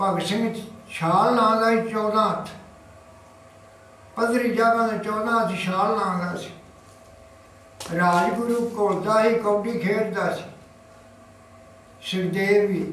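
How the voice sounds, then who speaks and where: With light background noise and audible room echo, a man talks in a high pitch with monotone, flat intonation. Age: 80s+. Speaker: elderly friend of a freedom fighter. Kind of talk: interview answer, reminiscence. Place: home room. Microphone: camera far.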